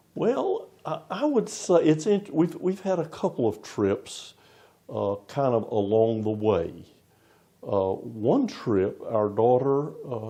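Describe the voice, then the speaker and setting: A man with a Southern US accent speaks at a very slow pace in a dark, mellow tone, his medium pitch swinging very widely. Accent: Southern US accent noticeable. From US South, Florida. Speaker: interim pastor. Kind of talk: interview.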